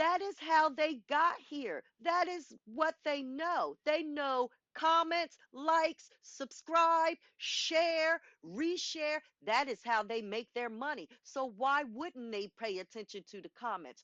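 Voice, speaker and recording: Speaking at a very slow pace, a woman uses a high pitch, lively intonation and big swings in loudness. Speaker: podcast co-host. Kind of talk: casual chat. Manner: animated.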